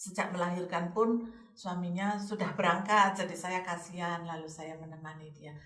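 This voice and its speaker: A woman with a fairly low pitch talks at a moderate pace with hardly any pauses and fairly even intonation, her loudness swinging widely, amid noticeable background noise and audible room echo. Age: 60s. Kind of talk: casual chat.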